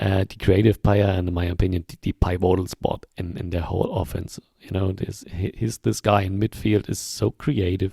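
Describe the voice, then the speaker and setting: Speaking at a moderate pace in a German accent, a man has a very deep, low pitch, a dark, mellow tone and a somewhat breathy voice, with dry, close sound, no echo and a very clean recording with a silent background. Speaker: football podcast host. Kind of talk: casual chat. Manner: hesitant, many fillers.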